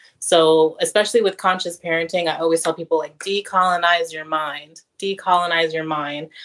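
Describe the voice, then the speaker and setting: A woman with an American accent uses an ordinary speaking voice, fairly low in pitch, at a moderate pace. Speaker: parenting coach, advocate. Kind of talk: casual chat.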